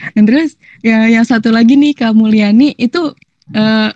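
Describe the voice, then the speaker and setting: A woman speaks with a dark, mellow tone and fairly even intonation, the sound dry and close with no echo. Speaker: volunteer monitor. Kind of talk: casual chat. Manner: hesitant, many fillers.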